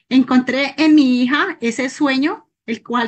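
Over a quiet background, a woman speaks in a high pitch with ordinary pitch variation. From Colombia. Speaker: network marketing consultant. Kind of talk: personal testimony. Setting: video call. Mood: earnest, reflective.

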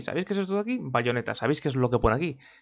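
The pitch swings very widely. The background is quiet. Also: man. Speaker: video game YouTuber; gaming youtuber. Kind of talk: opinion vlog. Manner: fast. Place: home room. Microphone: webcam.

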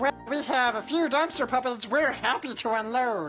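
Clear music plays in the background as someone performs a put-on character voice at a fairly high pitch. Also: moderate pace.

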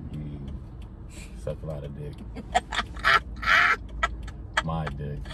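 A man's very deep, low voice at a very slow pace, with noticeable background noise. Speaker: vlogger. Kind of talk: casual vlog chat. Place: car. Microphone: phone near.

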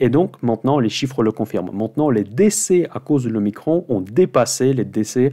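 The voice has a dark, mellow tone over a quiet background. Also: man. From Russia. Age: 40s. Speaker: finance YouTuber, options investor; finance YouTuber. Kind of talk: weekly market commentary monologue. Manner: fast.

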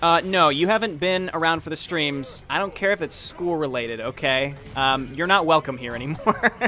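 A plain, everyday voice from a man, fairly high in pitch, with ordinary pitch variation, a moderate pace and hardly any pauses. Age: 20s. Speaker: gaming streamer. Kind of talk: casual chat. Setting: live stream with chat.

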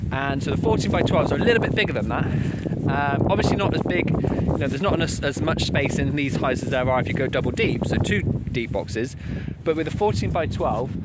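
A man speaks fairly quickly, his voice dry and echo-free against loud background noise. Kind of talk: casual vlog chat. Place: open country. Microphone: phone near.

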